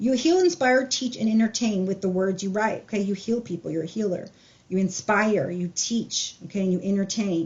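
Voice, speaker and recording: This woman's voice is somewhat breathy at a medium pitch. Her pitch variation is ordinary. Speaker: tarot reader. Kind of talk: tarot reading. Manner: fast.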